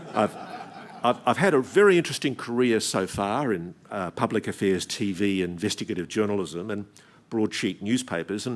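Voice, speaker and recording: A man with an Australian accent and lively intonation at a moderate pace, in a very clean recording with a silent background. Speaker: investigative journalist. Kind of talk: keynote speech.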